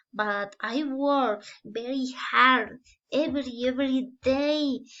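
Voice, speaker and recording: A woman's very slow speech in a Spanish accent, with fairly even intonation. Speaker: student teacher. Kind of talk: class presentation. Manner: halting, many fillers.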